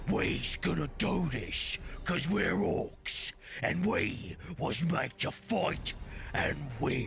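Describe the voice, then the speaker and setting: A man puts on a character voice at a medium pitch. He talks at a very slow pace over clear background noise. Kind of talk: ungrammatical, crude. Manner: menacing, boastful.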